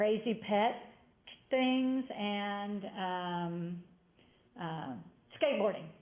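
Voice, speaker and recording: Audible room echo surrounds a woman speaking with lively intonation. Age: 60s. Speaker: college instructor. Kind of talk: lecture.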